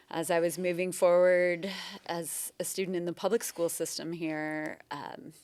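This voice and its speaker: A woman with a Pacific Northwest accent speaks fairly slowly at a fairly low pitch with ordinary pitch variation, on a very clean recording with a silent background. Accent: Pacific Northwest American. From Bellingham, Washington, US Pacific Northwest. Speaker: mayor. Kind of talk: interview. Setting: university campus studio.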